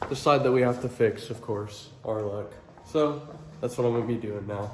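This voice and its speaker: A man with a medium pitch and ordinary pitch variation talks at a moderate pace, leaving long, frequent pauses. The recording carries audible room echo and noticeable background noise. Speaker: auto body painter. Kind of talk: tutorial. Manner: casual.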